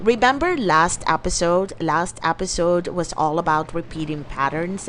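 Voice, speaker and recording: With ordinary pitch variation, a woman talks at a moderate pace while noticeable background noise plays behind her. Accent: non-native. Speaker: podcast host, life coach. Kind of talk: motivational podcast monologue. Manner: animated.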